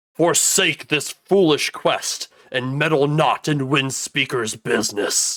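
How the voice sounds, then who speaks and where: A man performs a put-on character voice that is booming and fairly high in pitch. He delivers it at a fairly slow pace. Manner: menacing, accusing.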